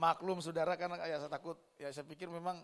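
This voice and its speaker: A man is speaking. His pace is fairly quick. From Indonesia, Manado (North Sulawesi). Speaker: pastor. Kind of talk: sermon. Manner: animated.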